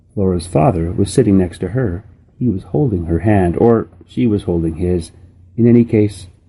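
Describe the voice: The pitch varies in an ordinary way as someone does some plain reading aloud.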